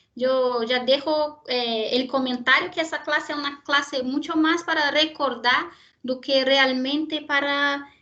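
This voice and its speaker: A high-pitched woman with a Brazilian accent, talking at a fairly slow pace. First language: Portuguese (speaking Spanish). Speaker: university lecturer in genetics. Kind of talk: lecture. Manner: hesitant, with fillers and repetitions.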